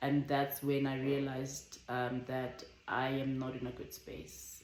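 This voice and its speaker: With audible room echo and noticeable background noise, a woman speaks at a very slow pace. Her very deep, low pitch stays monotone and flat. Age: 20s. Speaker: vlogger. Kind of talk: casual chat. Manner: careful, measured.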